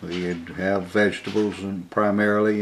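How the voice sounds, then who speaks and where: With an Alabama accent, the speaker talks at a fairly slow pace and with fairly even intonation over noticeable background noise and audible room echo. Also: man. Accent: US Southern (Alabama). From Alabama, Birmingham. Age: 70s. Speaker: oral history interviewee. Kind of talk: oral history interview. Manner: halting, many fillers.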